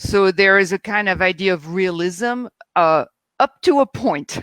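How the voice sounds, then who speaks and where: With a French accent, a woman speaks at a medium pitch in a dry, close recording with no echo. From France. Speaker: theatre critic. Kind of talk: panel discussion.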